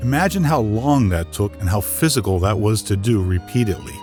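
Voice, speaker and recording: A fairly fast-talking man with an American accent, fairly low pitch, lively intonation and very even loudness, with music in the background. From Northeast Pennsylvania. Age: 60s. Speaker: voice actor. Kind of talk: personal history narration. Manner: folksy, conversational.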